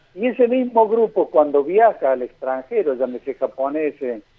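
A man's high voice at a fairly slow pace, with very wide pitch swings. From Argentina, Santa Fe province. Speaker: infectious disease doctor. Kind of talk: radio interview.

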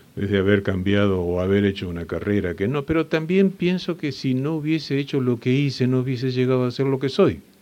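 With a dark, mellow tone, a man at a medium pitch talks at a fairly quick pace with hardly any pauses and very wide pitch swings. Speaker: family business consultant and mind-training instructor. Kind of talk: interview.

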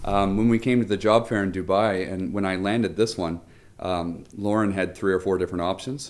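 Here a man speaks with a normal speaking voice, fairly low in pitch. His pace is fairly quick and his intonation fairly even. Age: 30s. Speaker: international school teacher. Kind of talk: casual interview chat.

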